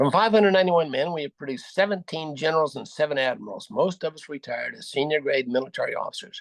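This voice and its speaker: A man with an American accent and ordinary pitch variation, dry and close with no echo. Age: 80s+. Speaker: war veteran. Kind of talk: motivational speech. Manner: halting.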